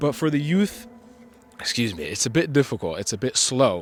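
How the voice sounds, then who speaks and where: Music plays in the background as a man talks. He keeps a moderate pace and ordinary pitch variation. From US Midwest (Kansas City), partly raised in Italy. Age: 20s. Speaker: vlogger. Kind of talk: casual monologue vlog. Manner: rambling, filler-heavy.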